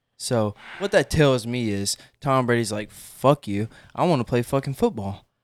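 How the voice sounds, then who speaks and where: In a very clean recording with a silent background and a dry, close sound with no echo, a man speaks at a medium pitch and a moderate pace. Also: ordinary pitch variation. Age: 20s. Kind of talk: casual chat. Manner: animated.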